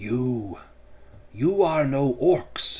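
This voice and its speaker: A man's strained, put-on character voice at a medium pitch. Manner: proud.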